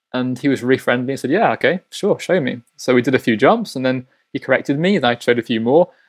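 Speaking very fast with a Yorkshire accent, a man uses a medium pitch and ordinary pitch variation, and the sound is dry and close with no echo. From East Yorkshire, Hull. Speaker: ballet dancer. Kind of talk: interview.

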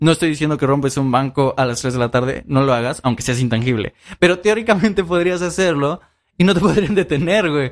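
Delivery runs at a fairly quick pace. Its intonation rises and falls in a lively way. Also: man, fairly high pitch for a man. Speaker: podcast co-host. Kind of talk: casual chat.

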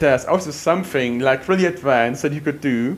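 A man with a German accent speaks in a fairly high voice. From Germany. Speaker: window cleaner. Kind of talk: casual chat.

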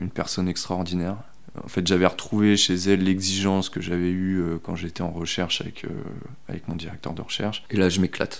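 Talking at a fairly quick clip, a man uses a very deep, low voice. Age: 30s. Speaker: bicycle mechanic. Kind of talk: interview testimony. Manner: hesitant, many fillers and repetitions; casual, colloquial.

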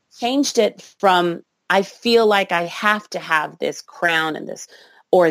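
A woman at a very slow pace, on a very clean recording with a silent background. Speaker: burlesque performer and singer. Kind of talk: interview.

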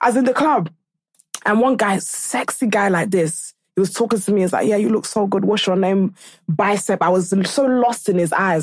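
A woman's animated voice at a medium pitch with ordinary pitch variation. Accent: British. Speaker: podcaster. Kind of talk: casual chat.

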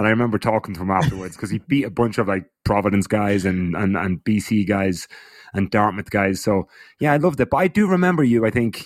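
In an Irish accent, a man speaks at a fairly quick pace with a fairly low pitch and ordinary pitch variation. The sound is dry and close, with no echo. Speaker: former runner and cyclist. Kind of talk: casual chat. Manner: halting.

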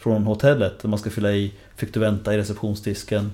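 Over a silent background on a very clean recording, a man speaks at a fairly quick pace with a fairly low pitch, a somewhat breathy quality and a dark, mellow tone. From Sweden, Linköping. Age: 40s. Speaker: author and lecturer on generations. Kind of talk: interview.

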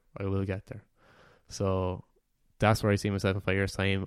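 A man with an Irish accent speaks at a fairly quick pace and fairly low pitch, in a very clean, dry, close recording with no echo and a silent background. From Ireland, Wexford. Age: 20s. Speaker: university student. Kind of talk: casual chat.

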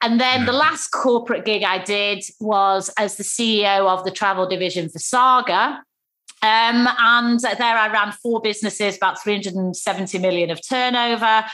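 In a Manchester accent, a woman speaks at a fairly slow pace. Her tone is bright and sharp. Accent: Mancunian, northern English. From Manchester, northern England. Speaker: former travel CEO turned entrepreneur. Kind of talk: casual interview conversation. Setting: video call (Zoom). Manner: lively, down to earth.

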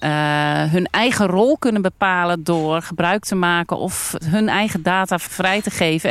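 In an unremarkable speaking voice, a woman talks at a fairly slow pace with a medium pitch and ordinary variation. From Netherlands, North Brabant (Almkerk). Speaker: farmer and entrepreneur. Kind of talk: casual discussion. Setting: outdoors at a farm picnic table.

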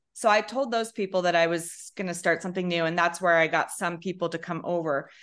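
A woman speaks in an unremarkable speaking voice with a fairly low pitch. Her pitch varies in an ordinary way over a quiet background. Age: 50s. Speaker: social media comedian. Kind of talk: casual chat.

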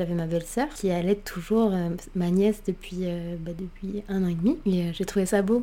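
A woman's dark, mellow voice keeps a fairly even intonation. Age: 30s. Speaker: podcast host and blogger, new mother. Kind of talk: solo personal storytelling podcast. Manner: casual, chatty.

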